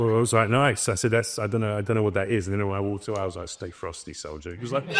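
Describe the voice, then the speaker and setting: Very fast speech from a man with a British accent, fairly low in pitch with ordinary pitch variation, against noticeable background noise. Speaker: voice actor. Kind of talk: casual interview chat.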